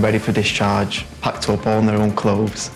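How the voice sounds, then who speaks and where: With music in the background and audible room echo, the speaker talks in a Mancunian accent. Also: man. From Manchester, England. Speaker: hospital nurse. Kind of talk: interview testimonial.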